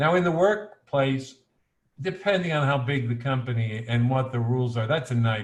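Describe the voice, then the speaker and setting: With a somewhat breathy sound, a man keeps a moderate tempo, his pitch varying in an ordinary way. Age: 60s. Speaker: political candidate. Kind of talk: panel discussion.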